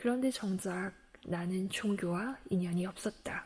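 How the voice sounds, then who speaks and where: Very slowly and with fairly even intonation, a woman speaks at a medium pitch in a calm, soothing, dark and mellow tone that is somewhat breathy. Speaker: book reader. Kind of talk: audiobook-style book reading.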